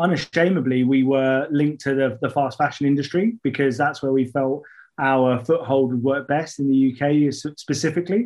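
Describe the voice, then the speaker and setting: A man with a British accent speaks at a fairly high pitch and a fairly quick pace. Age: 30s. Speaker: fintech partnerships director. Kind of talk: interview. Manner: animated; hesitant, many fillers.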